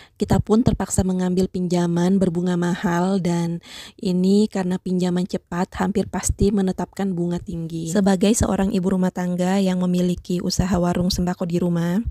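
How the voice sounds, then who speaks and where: This woman has a medium pitch and a dark, mellow tone, speaking at a fairly quick pace with monotone, flat intonation. The sound is dry and close with no echo, on a very clean recording with a silent background. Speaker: YouTuber and small grocery shop owner. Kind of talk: voice-over tutorial. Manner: hesitant fillers.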